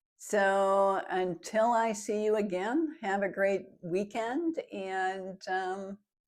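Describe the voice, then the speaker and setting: On a very clean recording with a silent background, a woman with an American accent speaks very slowly in a medium pitch, with hardly any pauses. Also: ordinary pitch variation. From United States. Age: 60s. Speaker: lifestyle vlogger. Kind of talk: casual vlog monologue.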